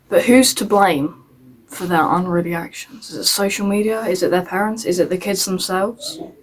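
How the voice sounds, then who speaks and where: A woman with an English accent and a medium pitch, at a moderate pace with ordinary pitch variation, over noticeable background noise. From England. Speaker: YouTuber. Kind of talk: scripted commentary video. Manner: halting, self-correcting.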